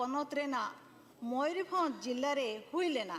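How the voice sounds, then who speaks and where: The speaker has a Jharkhand accent and ordinary pitch variation. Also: woman. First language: Santali (speaking Hindi). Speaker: politician, member of parliament. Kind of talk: parliamentary speech. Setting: parliament chamber. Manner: formal.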